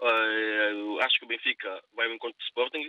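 A man is talking. His voice falls at a medium pitch. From São Tomé and Príncipe. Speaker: radio listener caller, immigrant. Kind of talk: phone-in opinion. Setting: phone call. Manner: halting, repetitive.

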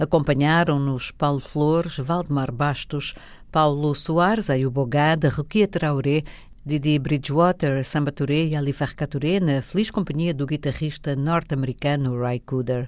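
Recorded very cleanly against a silent background, the speech moves at a fairly slow pace. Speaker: radio host reading poetry. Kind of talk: poetry reading. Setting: studio. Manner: slow, measured, lyrical, reflective.

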